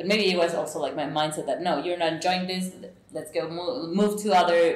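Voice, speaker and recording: A woman with a fairly low pitch speaks at a moderate pace, her intonation fairly even. Noticeable background noise and audible room echo fill the recording. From Mexico. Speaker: podcast host. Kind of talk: interview.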